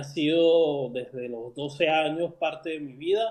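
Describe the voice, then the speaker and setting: Fairly slow, fairly high-pitched speech from a man. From Venezuela. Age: 40s. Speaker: writer. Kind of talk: interview. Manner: halting, many fillers and repetitions.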